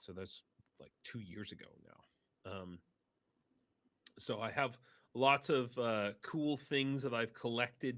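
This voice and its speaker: The recording is very clean, with a silent background. A man speaks at a very slow pace with a medium pitch and ordinary pitch variation. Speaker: volunteer supplying vehicles in Ukraine. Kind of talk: live stream interview. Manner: halting, many fillers and restarts; gestures with hands while talking.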